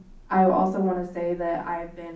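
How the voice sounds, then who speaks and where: A woman's medium-pitched voice at a moderate pace, with audible room echo and noticeable background noise. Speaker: mayor chairing city council meeting. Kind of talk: council meeting proceedings.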